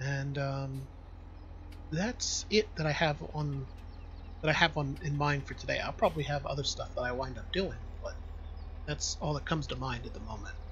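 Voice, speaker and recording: A man whispers quietly at a moderate pace, with long, frequent pauses. Audible room echo is present. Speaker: video game streamer. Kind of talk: casual live gameplay commentary. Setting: home bedroom, live stream. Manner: whispering, quiet.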